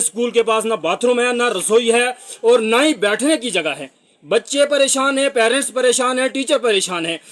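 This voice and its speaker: The speaker is a man with an extremely high pitch. His pitch shifts in an ordinary way. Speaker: local reporter. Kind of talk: public appeal to officials. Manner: formal.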